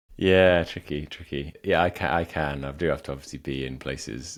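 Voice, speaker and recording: This man's voice is very deep and low, with vocal fry. He talks at a fairly quick pace. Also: hardly any pauses. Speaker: podcast co-host and startup founder. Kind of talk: casual chat.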